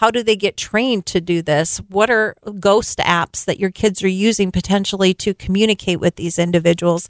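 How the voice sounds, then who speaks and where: An unremarkable speaking voice from a woman, medium in pitch, at a fairly quick pace with hardly any pauses and fairly even intonation, in a dry, close sound with no echo. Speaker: nonprofit director. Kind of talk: radio interview. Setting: radio studio.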